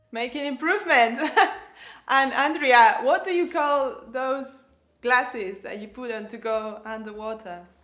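A high-pitched woman with a Spanish accent, lively intonation and a fairly slow pace. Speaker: co-host practicing English pronunciation. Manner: reads practice sentences aloud.

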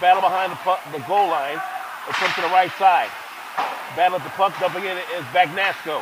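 Speaking at a fairly quick pace, a man with a high pitch keeps a fairly even intonation over noticeable background noise. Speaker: hockey play-by-play announcer. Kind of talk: live sports commentary, play-by-play. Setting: rink broadcast booth. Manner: fast, rhythmic play-by-play delivery.

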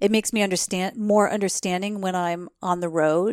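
A woman with an American accent talks at a medium pitch in an unremarkable speaking voice, with ordinary pitch variation. The sound is dry and close with no echo, on a very clean recording with a silent background. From New Jersey, US. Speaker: travel expert and podcast host. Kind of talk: interview conversation.

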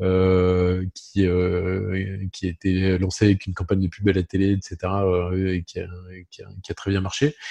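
A man's very deep, low voice, dark and mellow, at a fairly slow pace with monotone, flat intonation and a dry, close sound with no echo. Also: quiet background. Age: 50s. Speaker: insurance broker company president. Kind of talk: interview.

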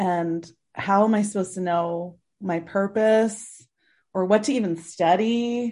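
A woman with a dark, mellow tone speaks fairly slowly, her intonation fairly even, over a quiet background. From New Jersey, US. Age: 30s. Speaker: philanthropist and author. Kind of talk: interview.

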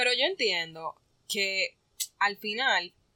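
This woman's voice has a bright, sharp tone. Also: dry, close sound with no echo. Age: 20s. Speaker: podcast co-host. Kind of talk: casual chat.

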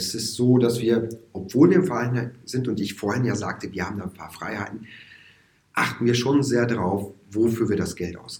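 A somewhat breathy male voice at a medium pitch, with big swings in loudness and audible room echo. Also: ordinary pitch variation, moderate pace. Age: 40s. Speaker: musician and music teacher. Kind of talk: casual interview. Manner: hesitant, many fillers.

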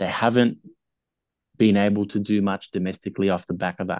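Recorded with a dry, close sound with no echo and a quiet background, a man with an Australian accent speaks in fairly even intonation. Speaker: rugby league podcaster. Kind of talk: casual chat.

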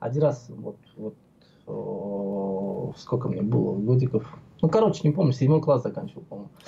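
Dark and mellow in tone, a man's voice shows vocal fry, lively intonation and big swings in loudness. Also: medium pitch for a man, moderate pace. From Georgia (Tbilisi), Armenian. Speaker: vaping video blogger. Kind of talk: casual chat. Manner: animated.

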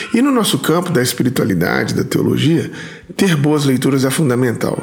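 A man's lively intonation comes through noticeable background noise and audible echo from the room. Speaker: podcast host. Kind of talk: read-out sponsor message; interview.

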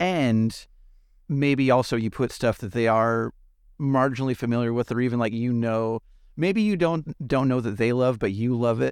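On a very clean recording with a silent background, a man with a plain, everyday voice speaks at a moderate pace and medium pitch with ordinary pitch variation. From US West Coast. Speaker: podcast host. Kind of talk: scripted narration; casual chat.

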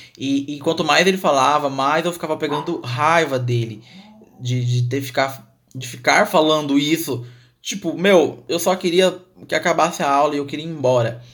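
A man with a fairly high voice and ordinary pitch variation speaks at a moderate pace. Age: 20s. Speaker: podcast host. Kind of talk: personal storytelling.

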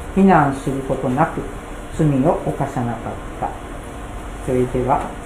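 A fairly slow delivery, noticeable background noise underneath. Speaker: church member reading scripture. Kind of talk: scripture reading.

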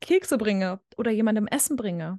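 Against a quiet background with a dry, close sound and no echo, a woman speaks at a fairly high pitch and moderate pace, her tone dark and mellow and her intonation lively. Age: 20s. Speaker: student and social media video creator. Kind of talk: casual interview.

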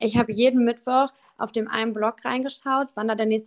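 A woman at a moderate pace with fairly even intonation, dry and close with no echo. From Düsseldorf, Germany. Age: 20s. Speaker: influencer manager, agency owner. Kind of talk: casual interview.

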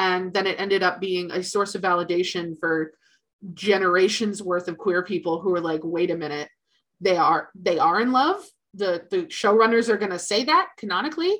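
An unremarkable speaking voice moves at a moderate pace. Its pitch variation is ordinary. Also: woman, medium pitch for a woman. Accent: American. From US, Philadelphia. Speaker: podcast host, writer. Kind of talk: casual chat.

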